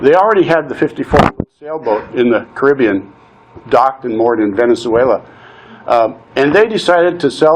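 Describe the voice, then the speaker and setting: Over noticeable background noise, a man talks at a moderate pace. His pitch sits fairly high for a man. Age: 60s. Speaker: nonprofit consultant and coach. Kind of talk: personal testimony talk. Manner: conversational, some hesitations.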